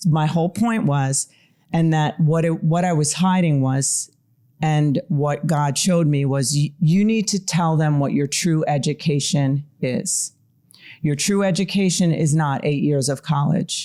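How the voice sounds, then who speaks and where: A woman speaks with a Long Island accent, her very deep, low pitch dark and mellow in tone, with ordinary pitch variation. She goes at a fairly slow pace with very even loudness on a very clean recording with a silent background. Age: middle-aged. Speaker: mental health therapist. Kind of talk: interview conversation.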